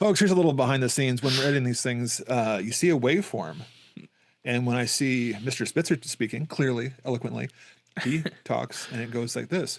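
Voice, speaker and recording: The speech moves at a fairly quick pace with vocal fry. Pitch varies in an ordinary way. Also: man, medium pitch for a man. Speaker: horror podcast co-host. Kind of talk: casual chat. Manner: fast; run-on, barely pausing for breath.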